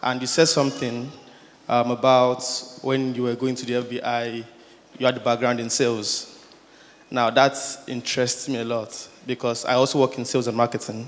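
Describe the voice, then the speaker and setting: With noticeable background noise behind him, a man speaks at a moderate pace in a monotone, flat intonation, leaving long, frequent pauses. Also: medium pitch for a man. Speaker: audience member asking a question. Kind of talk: Q&A question at conference.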